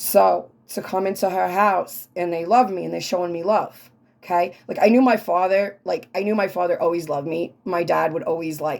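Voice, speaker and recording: Speaking with an American accent at a moderate pace with hardly any pauses, a woman has a fairly low pitch and ordinary pitch variation. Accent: New York accent, consciously toned down. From New York City (Queens, Brooklyn), then Long Island. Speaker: tarot reader and travel/food vlogger. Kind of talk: casual personal monologue to viewers. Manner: animated, conversational.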